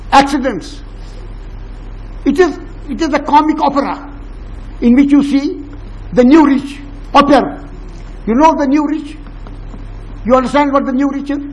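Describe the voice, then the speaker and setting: A man with an extremely high pitch speaks at a moderate pace, leaving long, frequent pauses. The room echo is audible and background noise is noticeable. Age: 80s+. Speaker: educationist. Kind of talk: public talk with Q&A. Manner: animated.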